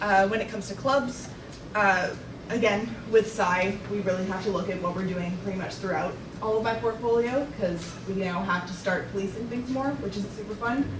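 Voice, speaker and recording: Amid noticeable background noise, a woman's voice carries audible room echo. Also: medium pitch for a woman, ordinary pitch variation. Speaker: student union officer. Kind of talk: meeting report. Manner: fast.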